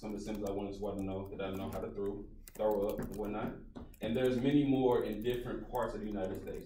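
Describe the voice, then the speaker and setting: A man with fairly even intonation, light background noise and audible room echo. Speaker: presenter. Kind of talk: class presentation. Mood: relaxed, casual. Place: classroom. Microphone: camera far.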